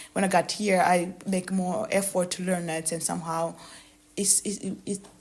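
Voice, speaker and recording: With a Burundian accent, a woman speaks at a moderate pace and medium pitch. Her intonation is monotone and flat. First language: Kirundi. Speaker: author. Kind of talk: interview. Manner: halting, many hesitations and repetitions.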